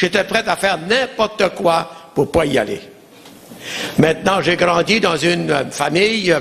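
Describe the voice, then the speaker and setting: In an Acadian accent, a man with a high pitch and ordinary pitch variation speaks at a fairly slow pace and very even loudness, with long, frequent pauses and noticeable background noise. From Acadia, New Brunswick. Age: 70s. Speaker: pastor. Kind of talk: testimony.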